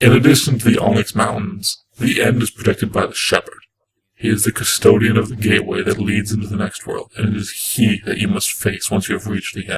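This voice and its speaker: A man puts on a character voice at a fairly low pitch. He moves at a fairly quick pace, with a slight echo. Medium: read story.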